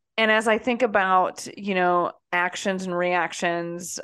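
A woman with a fairly low pitch speaks in a fairly even intonation. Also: quiet background. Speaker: pastor and podcast host. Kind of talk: casual chat. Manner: blunt.

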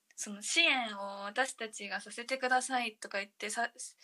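Her tone bright and sharp, a woman speaks at a moderate pace with a fairly high pitch and fairly even intonation. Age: 20s. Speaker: social media co-creator, flight industry worker. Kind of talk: casual chat.

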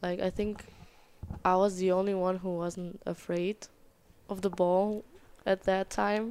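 Someone speaks in a German accent at a very slow pace. The intonation is monotone and flat. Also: woman. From Germany, small town. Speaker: college soccer goalkeeper. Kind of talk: interview. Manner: halting.

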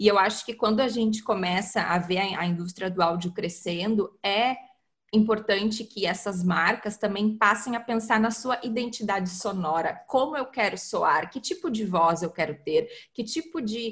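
Speaking at a moderate pace, a woman has an ordinary speaking voice, pitched fairly high with ordinary pitch variation. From southern Brazil, Porto Alegre. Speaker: content marketing specialist. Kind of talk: interview. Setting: remote call across continents.

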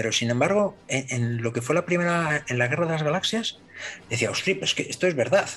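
This man speaks with an ordinary speaking voice at a fairly quick pace, his pitch varying in an ordinary way. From northern Spain. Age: 50s. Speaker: model maker and DJ. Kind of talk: casual chat.

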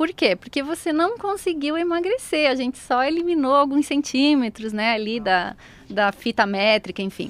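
A woman with a high pitch talks at a moderate pace, using very wide pitch swings, in a dry, close sound with no echo. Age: 30s. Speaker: beautician and weight-loss coach. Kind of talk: radio interview.

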